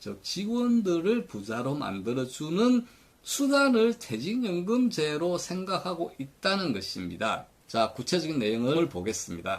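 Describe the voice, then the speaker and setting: Pitched high for a man, this speaker's voice swings very widely. He talks at a fairly slow pace. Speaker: retirement pension commentator. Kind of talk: commentary lecture.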